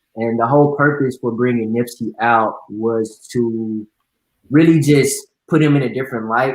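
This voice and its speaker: A man with an unremarkable speaking voice talks at a medium pitch and moderate pace, his intonation fairly even. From Texas, suburban Dallas. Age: 20s. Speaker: entrepreneur and event promoter. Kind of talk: interview. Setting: online live video event.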